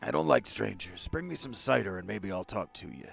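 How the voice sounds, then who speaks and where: A man's put-on character voice, very deep and low, delivered at a fairly quick pace. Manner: dumb, aquatic.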